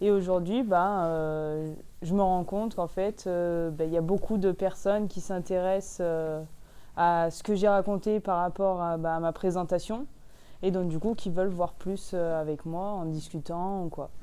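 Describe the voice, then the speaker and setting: Fairly slow and fairly low-pitched, a woman's voice carries a dark, mellow tone. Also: fairly even intonation. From Drôme, France. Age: young. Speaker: young farmer. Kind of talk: interview answer. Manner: hesitant, casual.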